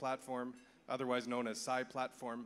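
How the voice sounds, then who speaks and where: This man has an ordinary speaking voice and a Canadian accent, and he talks at a fairly quick pace. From Canada. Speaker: conference speaker for an agriculture nonprofit. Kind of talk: conference presentation.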